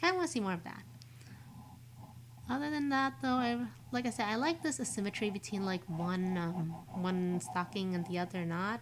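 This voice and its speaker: This woman's voice sits at a medium pitch and is somewhat breathy. She talks at a fairly quick pace with very wide pitch swings. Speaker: vtuber streamer. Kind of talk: casual live-stream commentary. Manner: casual, hesitant with many fillers.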